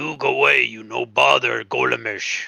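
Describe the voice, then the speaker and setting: Using a put-on character voice, a man sounds gravelly and raspy as he talks at a moderate pace. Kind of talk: broken, simple grammar. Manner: gruff, dismissive.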